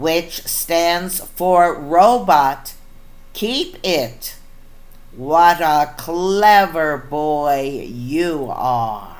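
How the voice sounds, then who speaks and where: Very slow delivery in a put-on character voice. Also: woman, fairly low pitch for a woman. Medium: read story. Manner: mopey then cheerful.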